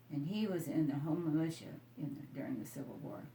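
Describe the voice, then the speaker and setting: A woman with an American accent speaks in a very deep, low pitch with ordinary pitch variation. Her pace is moderate, and there is noticeable background noise. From Iowa, US Midwest. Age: 80s+. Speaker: elderly local resident. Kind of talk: oral history interview. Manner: halting, with false starts.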